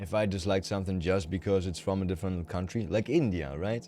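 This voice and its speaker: A man mumbles in a very deep, low voice with a dark, mellow tone. He has a German accent and talks at a fairly quick pace. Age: 30s. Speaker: video game streamer. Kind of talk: casual chat. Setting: live stream. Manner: mumbling.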